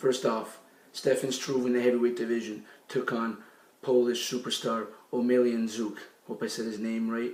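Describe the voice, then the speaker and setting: The room echo is audible as a man talks at a moderate pace. His medium-pitched voice stays monotone and flat. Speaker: sports talk show host. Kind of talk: sports news recap.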